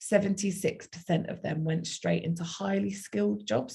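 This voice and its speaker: A somewhat breathy, dark, mellow voice with a South London accent. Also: woman. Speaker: university outreach speaker. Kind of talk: online presentation.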